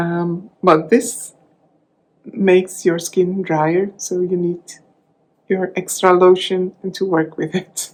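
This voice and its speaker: A woman with a Flemish Belgian accent speaks at a very slow pace and medium pitch, pausing long and often. Her intonation is monotone and flat. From Belgium (Dutch-speaking). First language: Dutch. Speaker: crafting vlogger. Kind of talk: casual vlog talk. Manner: halting, many fillers and restarts.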